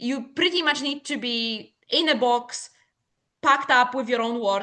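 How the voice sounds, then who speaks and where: In a quiet background, a woman with a Polish accent speaks at a moderate pace in a bright, sharp tone. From Poland. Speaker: business owner. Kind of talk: podcast interview. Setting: podcast recording.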